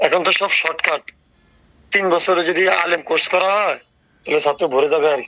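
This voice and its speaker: The intonation here is fairly even. The speaker is a man with a high pitch. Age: 30s. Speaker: caller. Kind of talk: phone call.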